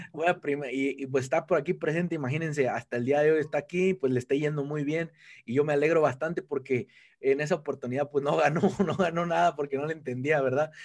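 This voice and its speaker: A man with a Mexican accent speaks at a very fast pace with fairly even intonation. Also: fairly high pitch for a man. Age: 20s. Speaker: network marketing entrepreneur. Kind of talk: casual interview.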